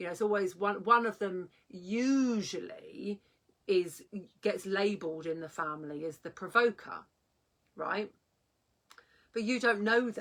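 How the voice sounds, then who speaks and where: A woman at medium pitch with ordinary pitch variation, a fairly slow pace, long, frequent pauses and big swings in loudness. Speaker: parenting coach. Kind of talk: vlog talk. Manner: halting.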